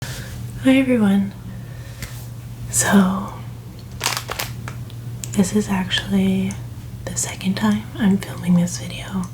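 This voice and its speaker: Someone soft-spoken talks at a very slow pace, with long, frequent pauses. Noticeable background noise runs underneath. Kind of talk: ASMR, soft-spoken talk to camera. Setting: close ASMR microphone.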